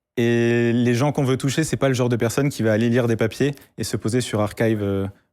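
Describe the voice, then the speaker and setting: A man with an unremarkable speaking voice talks at a fairly quick pace in a medium pitch, with fairly even intonation, on a very clean recording with a silent background. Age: 20s. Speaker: AI student and project creator. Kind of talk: interview on a live tech show.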